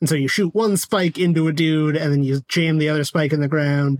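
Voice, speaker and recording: Here is a man with a plain, everyday voice and a fairly high pitch. His pace is fairly quick, and his intonation stays fairly even. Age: 30s. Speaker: podcast co-host. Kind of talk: casual chat.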